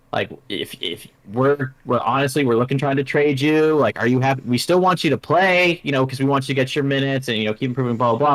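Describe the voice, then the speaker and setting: At a fairly quick pace, a man of medium pitch talks with ordinary pitch variation in a very clean recording with a silent background. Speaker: sports podcast host. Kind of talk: casual chat. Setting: live stream. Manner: loud; animated, varied pitch.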